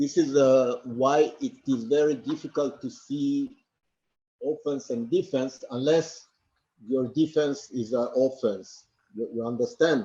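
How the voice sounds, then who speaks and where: At a fairly slow pace, a man speaks in a fairly high voice with a dark, mellow tone. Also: ordinary pitch variation. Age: 60s. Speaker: martial arts instructor. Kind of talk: interview answer. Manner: halting, with many fillers and repetitions.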